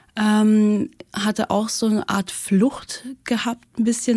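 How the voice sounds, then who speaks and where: Somewhat breathy, a woman speaks with a fairly high pitch and a dark, mellow tone. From Russia. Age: 20s. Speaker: architecture student. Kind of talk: casual chat. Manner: hesitant, many fillers.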